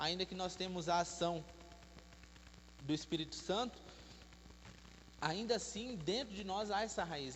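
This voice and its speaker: With audible room echo, a man talks at a fairly slow pace in a high pitch, his pitch varying in an ordinary way. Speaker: preacher. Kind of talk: sermon. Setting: church.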